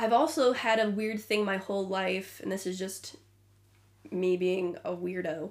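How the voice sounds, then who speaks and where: Using a Midwestern accent, a woman speaks in a medium pitch at a fairly slow pace, with ordinary pitch variation. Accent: American Midwestern. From US Midwest, Illinois. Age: 20s. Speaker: podcast co-host. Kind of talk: casual chat.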